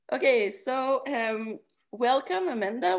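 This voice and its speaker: In a Quebec accent, a woman speaks with lively intonation on a very clean recording with a silent background. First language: French. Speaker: podcast host. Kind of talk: interview. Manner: halting.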